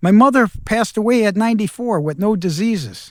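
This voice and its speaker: At a moderate pace, a man with a high pitch speaks with an American accent. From US Midwest, Minneapolis-St. Paul. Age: 70s. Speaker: entrepreneur and mentor. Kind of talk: personal reflection vlog. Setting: outdoors. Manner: conversational.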